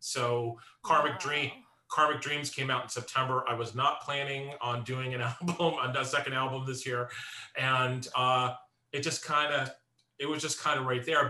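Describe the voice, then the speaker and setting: In a plain, everyday voice of medium pitch, a man speaks at a moderate pace with fairly even intonation. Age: 50s. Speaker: composer and musician. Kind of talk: interview conversation.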